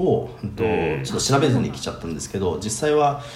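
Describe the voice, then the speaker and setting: A man talks at a fairly quick pace with very wide pitch swings. Audible room echo and noticeable background noise surround him. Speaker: remote contract worker living abroad. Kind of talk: casual chat.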